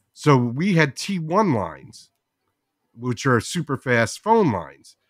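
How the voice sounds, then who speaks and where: With a New Jersey accent, a man talks at a fairly slow pace, his fairly high voice making very wide pitch swings. The recording is very clean with a silent background, and the sound is dry and close with no echo. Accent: New Jersey American. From New Jersey, US. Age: 60s. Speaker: podcast creator. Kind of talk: casual interview chat.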